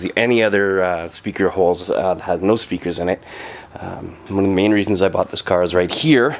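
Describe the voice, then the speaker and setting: With fairly even intonation, a man talks at a moderate pace in a very deep, low pitch. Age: 40s. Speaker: car owner. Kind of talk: casual walkaround talk to camera. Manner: hesitant, many filler sounds.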